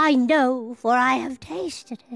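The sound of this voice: A woman's put-on character voice, high-pitched and fairly bright, with vocal fry, a slow pace and faint music in the background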